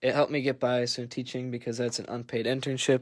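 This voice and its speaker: On a very clean recording with a silent background, a man with an Upper Midwest accent talks at a medium pitch in a monotone, flat intonation. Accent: Upper Midwest (Wisconsin). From Wisconsin, Green Bay. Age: 20s. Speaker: sports card breaker, new PE teacher. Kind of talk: casual livestream chat. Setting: livestream over wi-fi.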